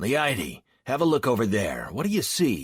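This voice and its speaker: A man puts on a raspy character voice at a medium pitch. His pitch swings very widely. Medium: read story.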